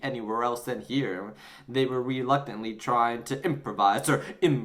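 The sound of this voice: Someone reads in an unforced voice, keeping the intonation fairly even.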